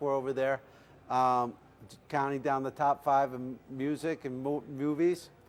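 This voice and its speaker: A man mumbles in a put-on character voice at medium pitch. His intonation is monotone and flat, and his pace is moderate. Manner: mumbling.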